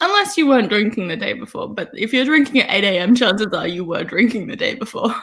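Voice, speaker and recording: In an Australian accent, a woman talks at a very fast pace with a fairly high pitch and hardly any pauses, over noticeable background noise. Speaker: writer, live stream guest. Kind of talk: casual chat. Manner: loud.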